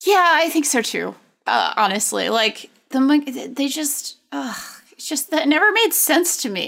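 At a fairly slow pace, a woman speaks in a high pitch with very wide pitch swings. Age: 30s. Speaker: editor-in-chief and podcast co-host. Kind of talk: casual chat.

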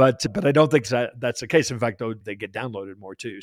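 On a very clean recording with a silent background, an unremarkable speaking voice shows ordinary pitch variation. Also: man. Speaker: podcast host. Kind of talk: interview.

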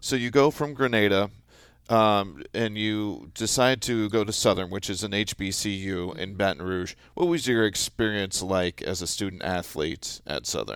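Recorded very cleanly over a silent background, a plain, everyday voice moves at a moderate pace with ordinary pitch variation. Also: man, fairly low pitch for a man. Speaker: podcast host. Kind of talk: casual interview.

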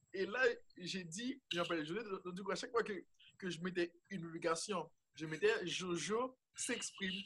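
A high-pitched male voice at a fairly slow pace with ordinary pitch variation. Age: 20s. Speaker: student and youth project founder. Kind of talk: interview.

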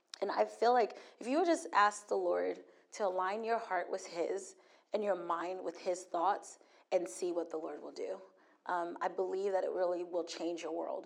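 A woman talks at a moderate pace, and the room around her gives off audible echo. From Hawaii. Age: 40s. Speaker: guest preacher. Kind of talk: sermon. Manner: animated.

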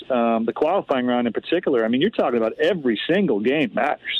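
A man talks at a fairly quick pace and a medium pitch. He has a plain, everyday voice. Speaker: sports team executive. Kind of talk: radio interview. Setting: phone call from home front porch.

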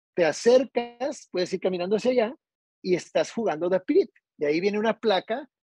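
Over music in the background, a man talks fairly quickly in a high pitch with lively intonation, the sound dry and close with no echo. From Tijuana, northern Mexico. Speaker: golf course architect. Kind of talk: casual interview.

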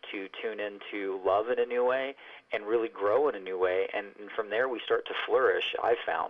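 A normal speaking voice with an American accent moves along at a fairly quick pace. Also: man. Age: 40s. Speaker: voice actor and author. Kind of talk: interview. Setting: phone call.

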